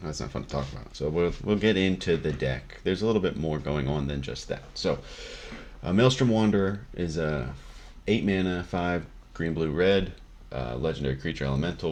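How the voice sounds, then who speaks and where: A man talks at a moderate pace in a very deep, low voice with vocal fry. His intonation is lively. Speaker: Magic card game content creator. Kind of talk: deck tech explanation. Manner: casual, many fillers.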